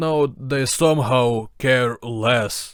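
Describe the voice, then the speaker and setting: A man speaks at a medium pitch with a Ukrainian accent. The recording is very clean, with a silent background. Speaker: video essayist. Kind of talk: video essay narration.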